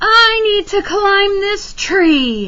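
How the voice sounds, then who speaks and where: Here is a squeaky, put-on character voice with lively intonation. Light background noise can be heard. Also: woman, extremely high pitch for a woman. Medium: read story.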